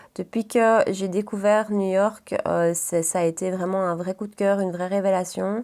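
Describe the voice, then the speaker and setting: With a Belgian accent, the speaker keeps a moderate pace and fairly even intonation. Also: woman. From Belgium, Brussels region. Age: 30s. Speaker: beauty vlogger. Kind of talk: casual chat. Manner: hesitant, many fillers.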